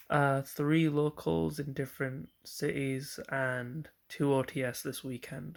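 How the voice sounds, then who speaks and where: A man talks at a very slow pace with a medium pitch and ordinary pitch variation. The recording is very clean, with a silent background. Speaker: card game player and deck reviewer. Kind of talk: casual deck profile video.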